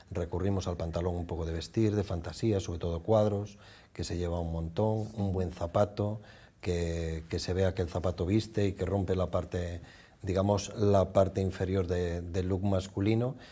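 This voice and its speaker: A man's very deep, low voice, somewhat breathy, with a dark, mellow tone, fairly even intonation and moderate pace. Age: old. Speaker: department store fashion manager; TV guest. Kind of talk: fashion advice chat. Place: studio. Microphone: lapel.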